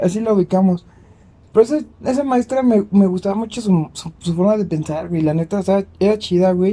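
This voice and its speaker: A man with a Mexican accent speaks at a moderate pace in a high pitch with ordinary pitch variation. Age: 20s. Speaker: podcast co-host. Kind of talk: casual chat.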